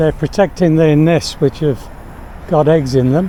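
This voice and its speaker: A man with an Australian accent speaks at a fairly high pitch with ordinary variation. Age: 70s. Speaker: e-bike vlogger. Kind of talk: casual vlog narration. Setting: outdoors, riding a bike.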